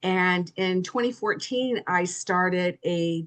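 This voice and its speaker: A woman's medium-pitched voice at a very slow pace, ordinary pitch variation and a quiet background. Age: 60s. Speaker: personal trainer and yoga teacher. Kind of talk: interview conversation. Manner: hesitant, many fillers.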